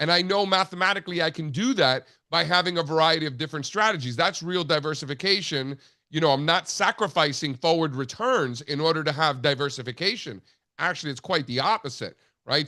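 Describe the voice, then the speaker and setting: Against a quiet background, a man speaks at a fairly quick pace in a fairly high pitch, his bright, sharp tone showing ordinary pitch variation. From US, Cuban-American family. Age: 40s. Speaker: market analyst. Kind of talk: interview. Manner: many filler words (you know, like).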